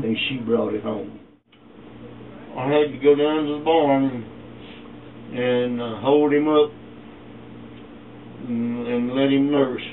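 A man with an East Texas accent speaks at a very slow pace with fairly even intonation. Long, frequent pauses punctuate his speech over light background noise. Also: medium pitch for a man. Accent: East Texas Southern US. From East Texas, USA. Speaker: retired meatpacking worker, former sharecropper. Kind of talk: interview answer, family oral history. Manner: casual, reminiscing. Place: home room. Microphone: camera far.

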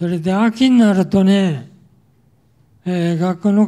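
The tone is dark and mellow, with fairly even intonation. Delivery is very slow. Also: man, quiet background. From Tokyo (Yotsuya); Tokyo. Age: 80s+. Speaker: war survivor speaker; wartime experience lecturer. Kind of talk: testimony. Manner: casual, frequent filler particles ね. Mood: calm reminiscing. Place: hall. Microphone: handheld.

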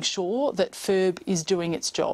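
A woman with an Australian accent speaks at a medium pitch. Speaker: government MP and committee chair. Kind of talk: news interview. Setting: remote studio link. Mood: calm, measured, formal. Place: studio. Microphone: lapel.

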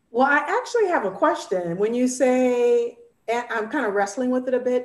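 A woman with an American accent, plus audible room echo. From Northern California. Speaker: arts programming director. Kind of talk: panel discussion. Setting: video call. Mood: thoughtful, engaged. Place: home room. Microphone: earbuds.

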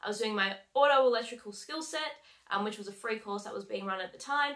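A woman at a very fast pace, with ordinary pitch variation, over a quiet background. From Australia. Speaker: heavy vehicle mechanic and coach. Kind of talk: vlog monologue. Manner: casual, many fillers. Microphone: webcam.

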